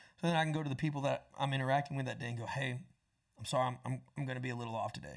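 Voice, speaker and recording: A man with an American accent and a fairly high pitch sounds somewhat breathy, with ordinary pitch variation, in a very clean recording with a silent background. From Florida, US South (Tampa, Panama City). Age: 20s. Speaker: songwriter and musician. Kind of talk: casual interview chat.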